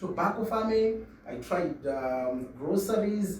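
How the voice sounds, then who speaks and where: A man with a high voice speaks at a fairly slow pace, his pitch swinging very widely, over noticeable background noise and audible room echo. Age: 30s. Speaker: network marketing entrepreneur. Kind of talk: interview. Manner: hesitant, many fillers and repetitions.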